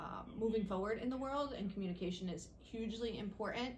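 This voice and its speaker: A woman talks at a fairly quick pace with ordinary pitch variation. Room echo is audible. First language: Italian. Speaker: school principal. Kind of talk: interview answers.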